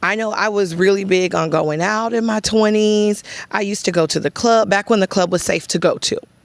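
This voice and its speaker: This woman talks in a Texan accent at a fairly quick pace. Her pitch is medium, and her intonation is fairly even. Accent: Texas country. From US South, East Texas (Chapel Hill). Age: 30s. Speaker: content creator. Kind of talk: casual vlog talk to camera.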